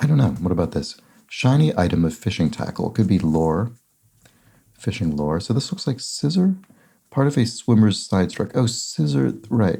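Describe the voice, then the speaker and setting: This man has a dark, mellow tone with vocal fry and a fairly low pitch. He moves at a moderate pace while his pitch swings very widely. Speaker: crossword solver. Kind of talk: casual commentary while solving a puzzle.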